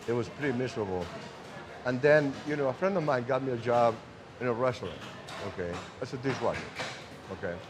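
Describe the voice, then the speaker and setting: A man with a Spanish accent speaks at a very fast pace and a medium pitch, using ordinary pitch variation. His speech has long, frequent pauses, and there is noticeable background noise. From Uruguay. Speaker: cigar maker. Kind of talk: casual interview. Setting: cigar factory.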